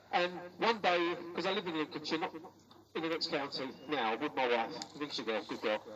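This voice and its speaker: This man talks at a fairly quick pace with lively intonation and a fairly high pitch, broken by long, frequent pauses. Noticeable background noise sits under his voice. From London. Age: 60s. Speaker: care abuse survivor. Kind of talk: protest speech.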